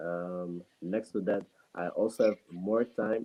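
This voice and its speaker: Fairly even intonation at a very slow pace. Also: man. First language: not English. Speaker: student and entrepreneur. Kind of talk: interview answer on a talk show. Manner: halting, many fillers.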